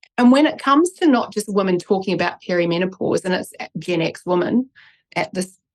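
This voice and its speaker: A woman with a New Zealand accent, medium pitch, and lively intonation, in a dry, close sound with no echo. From New Zealand, Christchurch. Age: 40s. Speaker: neuroscientist and author. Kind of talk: interview.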